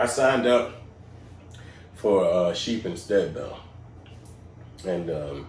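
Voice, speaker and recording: Someone with an American accent speaks at a fairly slow pace, with audible room echo. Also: man. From Georgia, US South. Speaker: podcast host. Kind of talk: casual chat. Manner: animated.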